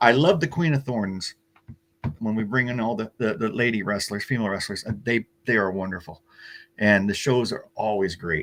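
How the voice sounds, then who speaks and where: On a very clean recording with a silent background, a man speaks at a medium pitch with a Pacific Northwest accent. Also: ordinary pitch variation, moderate pace. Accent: General American (Pacific Northwest). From US Pacific Northwest, Oregon. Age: 60s. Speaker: pro wrestling promoter. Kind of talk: interview. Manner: halting, repeats words.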